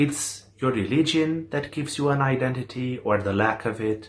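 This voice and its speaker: Bright and sharp in tone, a man's medium-pitched voice moves at a fairly slow pace through very wide pitch swings. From eastern Europe. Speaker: interviewee. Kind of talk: interview.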